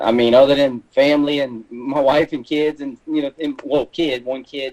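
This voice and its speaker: A man with a South Louisiana accent talks fairly quickly at medium pitch, keeping his intonation fairly even. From South Louisiana, coast. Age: 40s. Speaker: hunter and taxidermist. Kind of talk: podcast interview.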